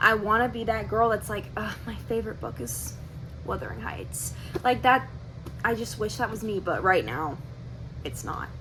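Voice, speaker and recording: Soft-spoken and moving at a moderate pace, a woman shows big swings in loudness and long, frequent pauses, with audible room echo around her. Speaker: book vlogger. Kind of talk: casual book review vlog.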